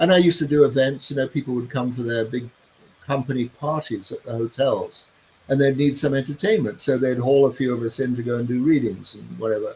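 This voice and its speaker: Somewhat breathy, a man speaks at a very fast pace and a medium pitch with fairly even intonation. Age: 70s. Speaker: human design teacher and author. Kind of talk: interview. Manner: conversational with fillers.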